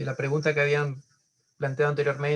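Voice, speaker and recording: A somewhat breathy man's voice with a fairly high pitch. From Argentina, Chaco. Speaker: caller asking a Bible question. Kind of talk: question in a Bible study Q&A. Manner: halting, many fillers.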